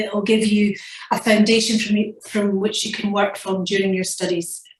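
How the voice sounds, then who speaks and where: In a Scottish accent, a woman talks at a medium pitch with monotone, flat intonation, and audible room echo surrounds her. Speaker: nursing professor. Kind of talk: lecture. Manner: fast.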